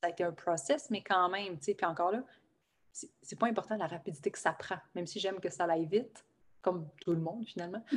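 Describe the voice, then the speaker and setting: A woman rattles along at a very fast pace, her medium pitch showing ordinary variation. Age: 30s. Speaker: life coach and shaman. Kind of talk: casual interview chat. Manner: animated.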